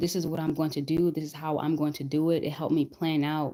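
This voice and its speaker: Soft-spoken, this woman has a very deep, low pitch and a dark, mellow tone, delivered in a monotone, flat intonation. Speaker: weight loss vlogger. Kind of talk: casual live chat. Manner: repetitive, hesitant.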